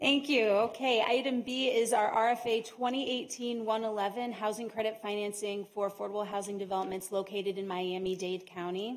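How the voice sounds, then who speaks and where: A woman speaks at a fairly high pitch with fairly even intonation. Her pace is fairly quick, with hardly any pauses. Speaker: housing agency staff presenter. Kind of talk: formal presentation at board meeting. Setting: board meeting room. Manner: loud; formal.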